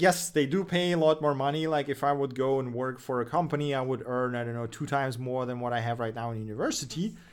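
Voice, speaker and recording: In a very clean recording with a silent background, a man speaks with a Russian accent. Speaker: web development streamer and researcher. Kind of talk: livestream tech news show and Q&A. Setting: livestream from home. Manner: casual, with fillers and restarts.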